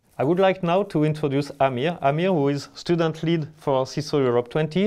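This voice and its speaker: At a very fast pace, a man with a French accent speaks in a fairly high voice with a dark, mellow tone and ordinary pitch variation. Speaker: event organizer. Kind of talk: event presentation.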